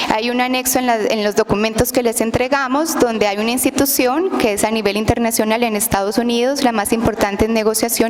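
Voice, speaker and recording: Noticeable background noise runs under speech at a moderate pace with ordinary pitch variation. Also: woman. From outside Guatemala. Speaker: testifying witness, wife of a detained lawyer. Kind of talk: testimony at a public hearing.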